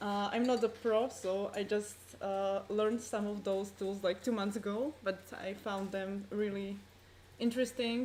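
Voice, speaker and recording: Using a plain, everyday voice, a woman speaks at a moderate pace with fairly even intonation. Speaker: conference presenter. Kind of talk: conference talk.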